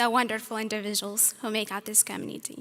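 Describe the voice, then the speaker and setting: A woman speaks at a moderate pace with a bright, sharp tone, on a very clean recording with a silent background. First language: not English. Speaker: student speaker. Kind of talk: graduation speech. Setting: stage with audience. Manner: formal.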